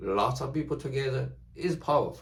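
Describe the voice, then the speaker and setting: A man speaks at a fairly slow pace with a non-native accent, and audible room echo surrounds his voice. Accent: non-native English speaker. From China. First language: Chinese. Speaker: YouTuber. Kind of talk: casual monologue to camera. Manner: halting.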